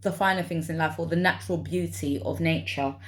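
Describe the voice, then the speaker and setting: A woman speaks in a London accent. Her pace is moderate. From London, England. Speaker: vlogger. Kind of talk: personal vlog monologue. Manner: halting, with many fillers.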